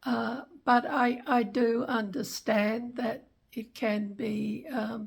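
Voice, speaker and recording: Her intonation stays fairly even. The woman's voice is fairly high in pitch. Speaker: travel vlogger. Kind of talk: casual chat. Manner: slow; halting.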